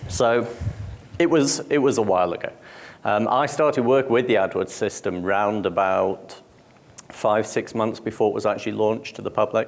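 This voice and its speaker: Speaking with a British accent, a man uses a medium pitch, ordinary pitch variation, and a moderate pace. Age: 40s. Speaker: conference speaker. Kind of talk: conference talk. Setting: stage with audience.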